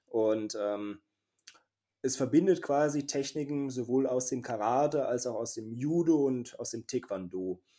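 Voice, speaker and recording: A man with a plain, everyday voice talks at a fairly slow pace. His pitch is medium, with ordinary variation. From Saxony, Leipzig. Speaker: wrestler and martial arts teacher. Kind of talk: interview.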